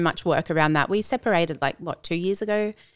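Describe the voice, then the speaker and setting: The recording is very clean, with a silent background. A woman with an Australian accent speaks at a fairly quick pace with ordinary pitch variation. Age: 30s. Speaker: schoolteacher and run club founder. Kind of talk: casual chat.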